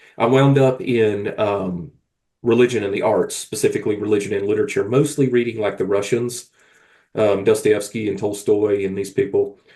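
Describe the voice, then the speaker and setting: Somewhat breathy, in a dark, mellow tone, the voice carries a Southern Appalachian accent. It moves at a moderate pace with fairly even intonation. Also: man, medium pitch for a man. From US South, rural South Carolina. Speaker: novelist. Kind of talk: casual chat.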